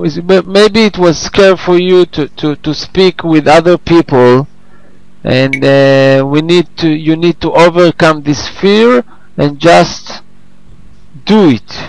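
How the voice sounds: Slowly, a man talks at a fairly high pitch with vocal fry. His pitch variation is ordinary.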